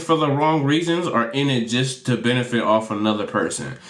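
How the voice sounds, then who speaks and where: Fairly quick speech from a man amid audible room echo and noticeable background noise. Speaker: YouTube commentator. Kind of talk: casual commentary monologue. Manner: halting, repetitive.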